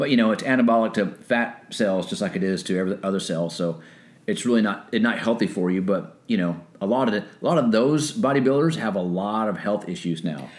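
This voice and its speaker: Speaking at a fairly quick clip with lively intonation, a man uses an ordinary speaking voice pitched fairly low. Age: 50s. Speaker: military veteran and personal trainer. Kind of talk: casual chat.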